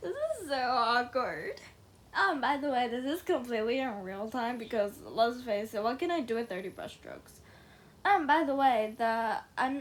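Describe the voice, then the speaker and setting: Speaking at a moderate pace, a woman with a non-native accent uses a high pitch. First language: not English. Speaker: digital art youtuber. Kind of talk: voiceover. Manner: hesitant, many fillers.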